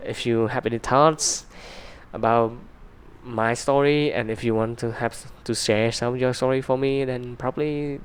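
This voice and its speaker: Speaking with a non-native accent, a man holds a medium pitch with fairly even intonation. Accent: non-native English pronunciation. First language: Vietnamese. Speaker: YouTuber. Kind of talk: casual chat to camera. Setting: in front of a camera. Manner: halting, many fillers.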